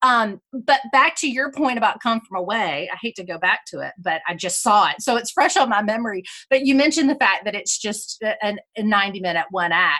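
Energetic and bright, sharp in tone, a woman with a Southern US accent speaks at a fairly high pitch and moderate pace with lively intonation. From South Carolina. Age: 40s. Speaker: musical theater historian. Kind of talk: interview conversation. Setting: video call.

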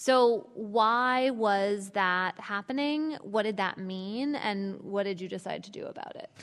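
With an ordinary speaking voice, a woman talks at a medium pitch and a fairly slow pace, with hardly any pauses and big swings in loudness. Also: ordinary pitch variation. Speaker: author and journalist moderator. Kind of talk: moderated panel conversation. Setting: live event with audience.

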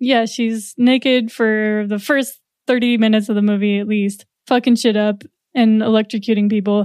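Her intonation monotone and flat, a woman speaks at a moderate pace in a fairly high pitch. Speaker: podcast editor and musician. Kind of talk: casual chat.

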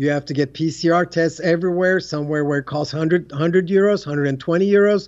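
A man with a Turkish accent and a high pitch speaks at a very fast pace with fairly even intonation and hardly any pauses. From Turkey. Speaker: tennis coach. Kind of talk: casual interview. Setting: Istanbul, remote interview.

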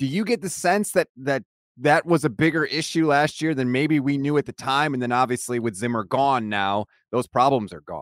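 A man with a normal speaking voice talks at a moderate pace, his pitch fairly high and his intonation lively. The recording is very clean and dry, close with no echo and a silent background. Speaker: sports podcast host. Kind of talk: casual chat.

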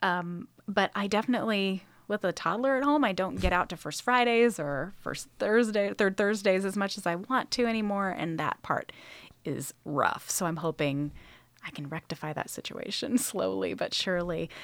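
In a very clean recording with a silent background, a woman with an American accent talks at a moderate pace in a medium pitch, using an unremarkable speaking voice with lively intonation. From Northern California, Sacramento area. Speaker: museum curator and podcast host. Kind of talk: casual interview.

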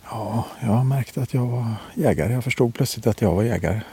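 A man talks at a moderate pace. His tone is dark and mellow, and somewhat breathy. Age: 50s. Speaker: hunter. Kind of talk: interview. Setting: outdoors on a hunting stand. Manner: quiet, hushed.

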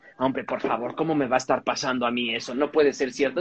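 Animated in tone, a man speaks at a fairly quick pace. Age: 40s. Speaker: podcast co-host. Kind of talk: casual chat.

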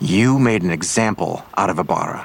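A man puts on a character voice at a low pitch and moderate pace, with vocal fry, a slightly husky edge and ordinary pitch variation.

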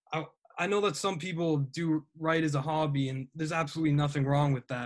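A man speaks at a fairly quick pace with an ordinary speaking voice and fairly even intonation, on a very clean recording with a silent background. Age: 20s. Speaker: college student and sports writer. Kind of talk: casual chat.

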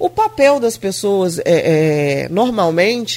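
This woman's pitch rises and falls across a very wide range. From Brazil, São João da Barra (RJ), Grussaí. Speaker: mayor. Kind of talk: radio interview. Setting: radio studio.

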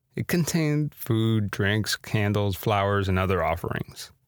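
A man with a Spanish accent speaks at a fairly low pitch and a moderate pace, with ordinary pitch variation. The sound is dry and close with no echo, on a very clean recording with a silent background. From Miami, US. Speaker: podcast host. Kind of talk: scripted narration with casual intro.

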